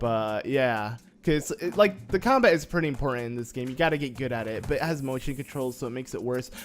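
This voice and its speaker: With music in the background, a man talks at a very fast pace and a medium pitch. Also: ordinary pitch variation. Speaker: gaming YouTuber. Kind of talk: let's play commentary. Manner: casual, filler-heavy.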